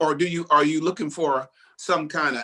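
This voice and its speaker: In a plain, everyday voice, a man speaks at a fairly high pitch. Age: 60s. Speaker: bishop and pastor. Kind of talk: panel discussion.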